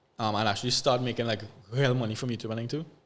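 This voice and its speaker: A man with a Trinidadian accent and medium pitch. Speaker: social media content creator. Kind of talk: podcast interview. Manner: halting, many fillers and repeats.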